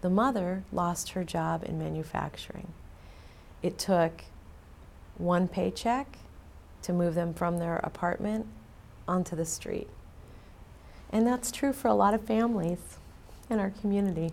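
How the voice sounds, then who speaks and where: Speaking at a fairly slow pace with an American accent, the voice leaves long, frequent pauses. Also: woman, fairly low pitch for a woman, ordinary pitch variation. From California, Silicon Valley. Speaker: community advocate. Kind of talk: interview.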